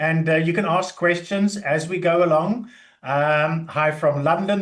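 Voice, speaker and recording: High pitch from a man at a moderate pace, fairly even intonation and audible room echo. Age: 60s. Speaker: IT contractor and career speaker. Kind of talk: webinar presentation. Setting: online webinar with screen sharing.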